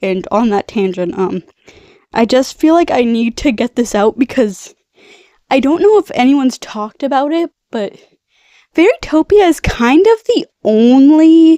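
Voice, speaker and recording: A woman's voice carries a dark, mellow tone and lively intonation. The sound is dry and close with no echo. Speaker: video reviewer. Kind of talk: casual chat. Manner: rambling, casual.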